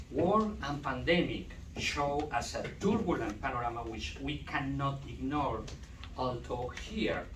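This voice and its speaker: A man with a Spanish accent at a fairly slow pace, with audible room echo and noticeable background noise. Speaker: doctoral student. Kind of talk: conference talk. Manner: halting.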